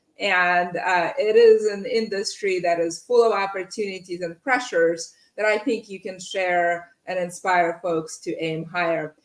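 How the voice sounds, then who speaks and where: A woman with a slight non-native accent, speaking at a fairly slow pace with hardly any pauses. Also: medium pitch for a woman, ordinary pitch variation. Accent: slight foreign. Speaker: podcast host, in-house lawyer. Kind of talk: interview podcast.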